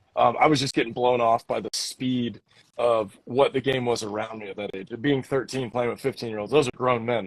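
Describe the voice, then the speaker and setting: A man speaks in a normal speaking voice at medium pitch and a fairly quick pace. His intonation is fairly even, and the sound is dry and close with no echo. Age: 30s. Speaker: podcast host and baseball pitcher. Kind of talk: casual interview chat.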